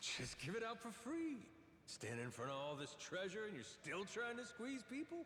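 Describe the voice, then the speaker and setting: A man's high-pitched, put-on character voice over clear background noise. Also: moderate pace. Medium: video game. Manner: blunt, casual cursing.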